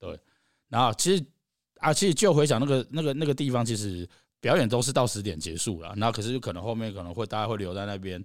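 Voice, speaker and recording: A man's medium-pitched voice at a very fast pace, with lively intonation, big swings in loudness, and a very clean recording over a silent background. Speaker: live music venue founder. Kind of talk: casual chat.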